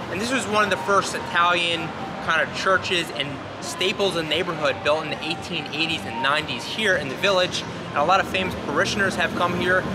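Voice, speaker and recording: Loud background noise fills the clip as a man talks at a fairly quick pace, his pitch varying in an ordinary way. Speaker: tour guide. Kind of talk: tour guide commentary. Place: street.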